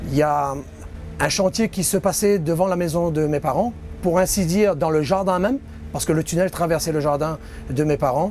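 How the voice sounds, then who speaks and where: Music plays in the background as a man speaks at a moderate pace in a high pitch, with ordinary pitch variation and long, frequent pauses. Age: 50s. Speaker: tunnel construction worker. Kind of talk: interview testimony.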